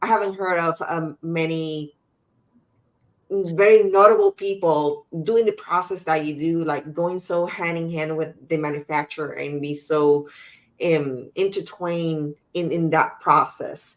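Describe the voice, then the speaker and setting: Here is a woman with an unremarkable speaking voice and fairly low pitch. She talks at a fairly slow pace with fairly even intonation. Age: 40s. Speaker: podcast host. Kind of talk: interview conversation.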